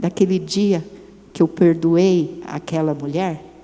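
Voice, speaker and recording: Noticeable background noise surrounds a woman who talks fairly slowly. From Brazil, São Paulo. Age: 60s. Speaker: women's ministry speaker. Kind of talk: sermon.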